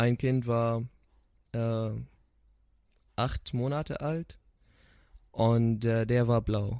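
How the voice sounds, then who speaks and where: Dark and mellow in tone, a man speaks at a very slow pace with fairly even intonation and long, frequent pauses. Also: medium pitch for a man. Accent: Arabic. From Syria. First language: Arabic (speaking German). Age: 20s. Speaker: psychotherapy student. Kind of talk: interview. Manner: halting.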